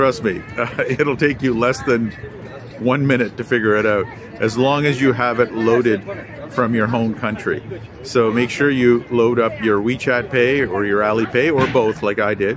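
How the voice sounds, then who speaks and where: A man at a medium pitch and moderate pace, with very even loudness, audible room echo and crowd noise in the background. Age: 60s. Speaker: travel vlogger. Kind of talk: travel vlog narration. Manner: hesitant, many filler words.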